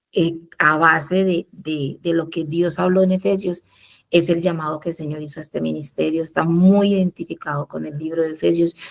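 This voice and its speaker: The voice is soft-spoken. Its intonation is monotone and flat. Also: woman, fairly low pitch for a woman, moderate pace, dry, close sound with no echo. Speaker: Bible study leader. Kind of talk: Bible study teaching.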